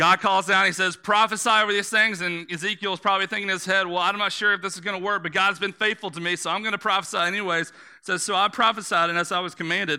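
In a very clean recording with a silent background, a man uses a raised, projected voice with a high pitch and a bright, sharp tone, talking at a very fast pace with fairly even intonation. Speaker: pastor. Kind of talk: sermon. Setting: church. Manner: rhetorical, repetitive.

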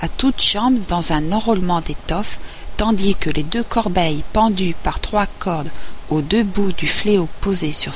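Someone reads aloud in a natural voice.

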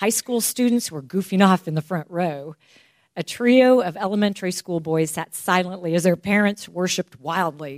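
Here a woman with a normal speaking voice talks at a moderate pace, her fairly low pitch showing ordinary variation. The sound is dry and close with no echo, on a very clean recording with a silent background. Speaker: church member reading aloud. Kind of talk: reading aloud. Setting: church.

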